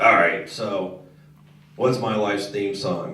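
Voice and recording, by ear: Putting on a raspy character voice, a man speaks at a fairly low pitch and a fairly slow pace with fairly even intonation and a slight echo.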